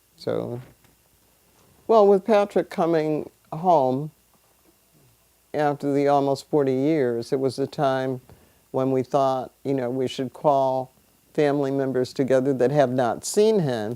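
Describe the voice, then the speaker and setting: With an American accent, a woman speaks at a fairly slow pace, with long, frequent pauses, a very deep, low pitch, ordinary pitch variation and a dark, mellow tone. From New Britain, Connecticut. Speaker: family elder. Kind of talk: casual chat.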